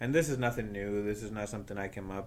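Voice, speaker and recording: Room echo is audible around a man speaking with fairly even intonation. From Spain. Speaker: podcast host. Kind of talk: casual interview chat.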